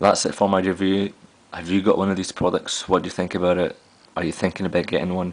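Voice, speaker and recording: A man speaks with a Glaswegian accent in a very deep, low voice. His intonation is flat and monotone. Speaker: tech reviewer. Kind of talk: product review vlog. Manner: casual, with frequent fillers.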